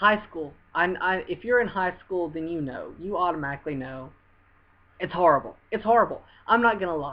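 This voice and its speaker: A Southern US accent at a moderate pace. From US South. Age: 20s. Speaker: vlogger. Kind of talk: personal testimony to camera. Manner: earnest, repetitive with hesitations.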